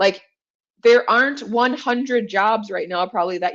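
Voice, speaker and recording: With a quiet background, a woman speaks in an animated tone at a fairly high pitch, with ordinary pitch variation. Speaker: career coach. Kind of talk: casual monologue to camera. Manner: fast.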